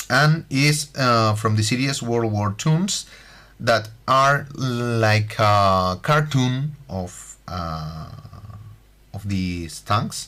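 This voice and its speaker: A man with a slight Spanish accent speaks very slowly in a bright, sharp tone, at a medium pitch with lively intonation. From Spain. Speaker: scale model building tutor. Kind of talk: tutorial. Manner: halting, many fillers.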